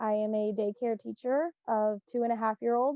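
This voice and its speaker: A woman speaks at a moderate pace in a plain, everyday voice. Her pitch is fairly high and her intonation fairly even. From Indiana. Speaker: daycare teacher, panel guest. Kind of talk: panel discussion.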